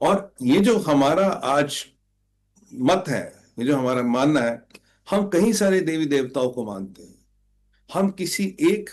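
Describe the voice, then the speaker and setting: A man talks in an ordinary speaking voice. The recording is very clean, with a silent background. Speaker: spiritual commentator. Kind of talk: spiritual talk.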